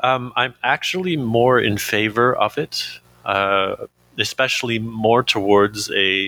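A man with a Canadian accent talks at a very slow pace at a medium pitch. His tone is bright and sharp, with very even loudness. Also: ordinary pitch variation. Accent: English-speaking Canadian. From Canada. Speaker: recovering addict. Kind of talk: interview testimony. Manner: halting.

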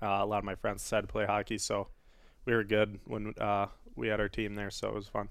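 Very fast and flat in intonation, a man talks with a Wisconsin accent. His pitch is fairly low, and the recording is very clean with a silent background. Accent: Upper Midwest (Wisconsin) American. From Wisconsin (West Salem, near La Crosse). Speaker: professional hockey player. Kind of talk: casual interview.

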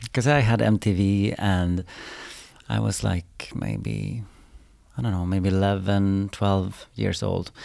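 With a Swedish accent, a man speaks very slowly in a fairly low, dark, mellow voice with ordinary pitch variation, on a very clean recording with a silent background. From Sweden, Umeå. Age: 30s. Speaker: choreographer. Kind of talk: interview.

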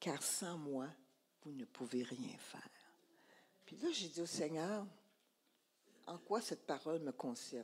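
A woman with a very deep, low pitch, speaking very slowly, with lively intonation, long, frequent pauses and big swings in loudness. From Quebec. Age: 80s+. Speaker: church speaker. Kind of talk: sermon testimony.

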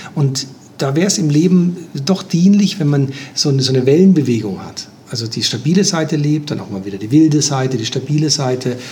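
A man's fairly high, lively voice at a fairly quick pace, with noticeable background noise and audible room echo. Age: 60s. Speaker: life coach and systemic therapist. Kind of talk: interview.

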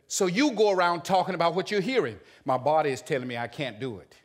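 A man's animated, fairly high-pitched voice with vocal fry, very wide pitch swings and a fairly quick pace, on a very clean recording with a silent background. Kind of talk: sermon. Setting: church with congregation. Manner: animated, urgent, call-and-response exhortation.

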